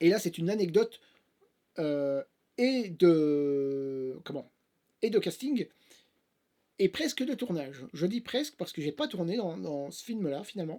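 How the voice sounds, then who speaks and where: Very slow and broken by long, frequent pauses, a man's high-pitched voice with a dark, mellow tone swings very widely in pitch, spoken in a strong Belgian accent. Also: big swings in loudness. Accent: Belgian French, fairly strong. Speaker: actor and YouTuber. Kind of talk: casual vlog storytelling. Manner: hesitant, many fillers.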